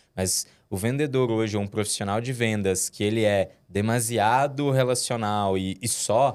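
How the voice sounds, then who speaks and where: A man talks at a fairly slow pace in a very clean recording, the background silent. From interior of Minas Gerais, Brazil (Timóteo). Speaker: head of sales. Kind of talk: podcast interview. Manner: hesitant, many fillers and repetitions.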